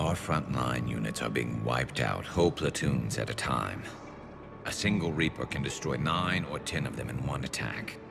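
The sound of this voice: A man puts on a character voice with an extremely low pitch, vocal fry and lively intonation. Clear music plays in the background. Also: moderate pace.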